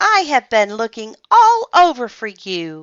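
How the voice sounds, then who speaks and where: A female-sounding put-on character voice at a fairly slow pace. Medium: read story.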